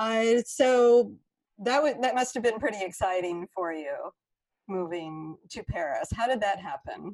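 Using a plain, everyday voice, a woman speaks at a fairly slow pace with lively intonation and a fairly high pitch. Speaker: podcast host and yoga studio teacher. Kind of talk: interview.

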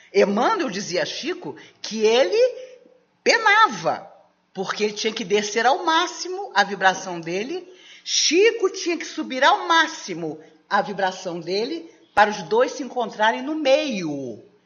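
A woman with a fairly high pitch speaks at a fairly slow pace, her pitch swinging very widely. Her loudness varies greatly, and the room echo is audible. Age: 60s. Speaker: spiritist lecturer. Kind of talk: lecture.

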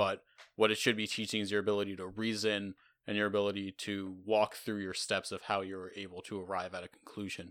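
A man talks at a fairly quick clip with a fairly low pitch and flat, monotone intonation. The recording is very clean with a silent background. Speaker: university math student. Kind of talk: casual chat. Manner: laughs often.

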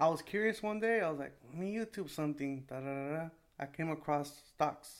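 A man speaks in an American accent at a fairly quick pace, with a normal speaking voice. His pitch sits fairly high and has ordinary pitch variation. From California, Salinas. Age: 20s. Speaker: small business owner. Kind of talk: casual chat.

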